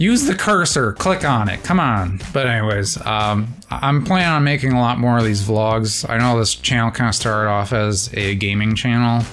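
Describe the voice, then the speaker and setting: A man at a medium pitch with lively intonation, a moderate pace, hardly any pauses and very even loudness, over music in the background. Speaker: engineer and vlogger. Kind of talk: casual vlog monologue.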